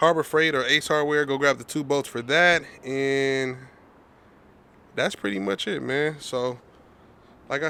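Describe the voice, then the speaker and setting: Bright, sharp tone with fairly even intonation. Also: man. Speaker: car mechanic doing engine swaps. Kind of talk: casual shop tutorial. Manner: fast.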